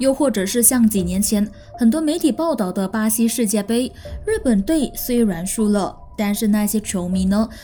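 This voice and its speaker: Music playing behind a moderately paced delivery with ordinary pitch movement. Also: woman, fairly high pitch for a woman. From Malaysia. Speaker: podcast host. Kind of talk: true-crime storytelling narration; casual chat to listeners. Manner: friendly, chatty.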